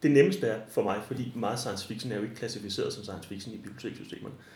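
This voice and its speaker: Speaking at a very fast pace, a man sounds somewhat breathy amid audible room echo. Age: 40s. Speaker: librarian. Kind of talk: interview. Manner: halting.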